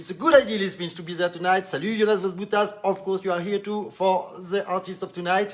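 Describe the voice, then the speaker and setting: Speaking with a French accent, a man rushes along at a very fast pace with hardly any pauses. His pitch is high, and his loudness swings a lot. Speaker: online live show host. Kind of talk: live stream interview. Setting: Facebook live stream. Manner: animated.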